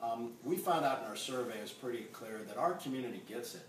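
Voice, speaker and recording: A man speaks with ordinary pitch variation. The room echo is audible, with light background noise. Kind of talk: interview answer. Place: kitchen. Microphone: camera far.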